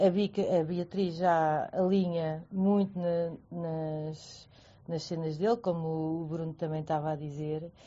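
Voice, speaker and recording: A woman speaks at a very slow pace in a fairly low, monotone voice with flat intonation. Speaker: friend of guest. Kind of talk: casual chat. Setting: online audio room.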